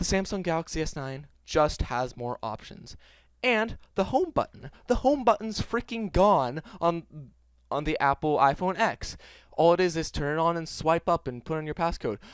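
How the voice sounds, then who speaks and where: His intonation is lively. The man talks at a high pitch. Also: moderate pace. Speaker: tech reviewer. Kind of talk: casual talk to camera, phone comparison rant. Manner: stuttering, halting.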